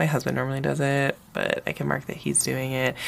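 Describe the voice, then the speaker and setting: Noticeable noise sits in the background. Over it, a woman talks. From US, Northern Virginia. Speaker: planner YouTuber and teacher. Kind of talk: casual haul video monologue. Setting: home recording with SLR camera. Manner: hesitant, many fillers and restarts.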